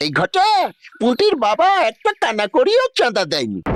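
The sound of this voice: A cartoonish character voice moves at a fairly slow pace in a dry, close sound with no echo. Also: man, extremely high pitch for a man.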